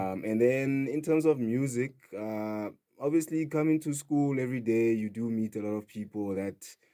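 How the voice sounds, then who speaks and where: A man speaks at a medium pitch and a moderate pace in a Sotho accent. His tone is dark and mellow, with ordinary pitch variation. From South Africa, Free State (Kroonstad). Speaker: DJ and house music producer. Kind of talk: radio interview. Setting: radio studio.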